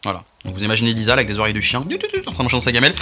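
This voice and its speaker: Speaking in an animated tone, a man uses a medium pitch. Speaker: YouTuber food tester. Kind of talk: casual food review vlog. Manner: fast.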